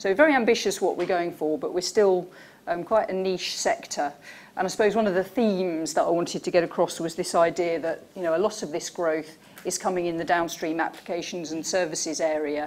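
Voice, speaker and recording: Speaking at a fairly quick pace, a woman with a normal speaking voice keeps a fairly low pitch and ordinary pitch variation. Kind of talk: conference presentation.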